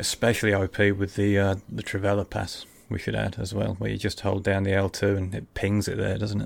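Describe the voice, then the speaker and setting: Using vocal fry, a man with a fairly low pitch talks at a fairly quick pace in a monotone, flat intonation, with hardly any pauses. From Lincolnshire, England. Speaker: podcast host. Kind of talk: casual chat. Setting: video call.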